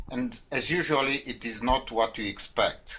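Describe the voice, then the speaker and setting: A man talks at a moderate pace with a non-native accent. His pitch is medium. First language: not English. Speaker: quit-smoking coach. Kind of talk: casual talk to camera. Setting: in front of a whiteboard. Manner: halting, with fillers.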